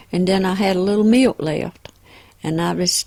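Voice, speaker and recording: A woman talks at a fairly quick pace. She has a Southern US accent. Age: 70s. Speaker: home cook, grandmother. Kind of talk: casual chat.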